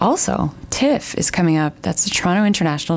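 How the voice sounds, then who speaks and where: A woman speaks in a fairly low voice with ordinary pitch variation. Noticeable background noise runs under her. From Canada. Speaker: radio host. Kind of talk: radio show chat. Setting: radio studio. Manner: warm, upbeat.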